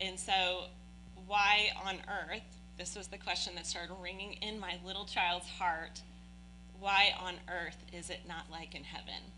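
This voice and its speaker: A woman speaks with big swings in loudness, and the room echo is audible. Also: fairly slow pace. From Oldham County, Kentucky. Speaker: church member. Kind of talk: interview.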